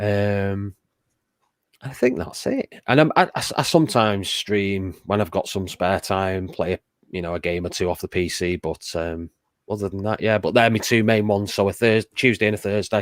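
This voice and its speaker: With a northern English accent and ordinary pitch variation, the voice comes through dry and close with no echo on a very clean recording with a silent background. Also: man, fairly low pitch for a man. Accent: northern English drawl. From northern England, Macclesfield. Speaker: streamer and show guest. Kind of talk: casual chat.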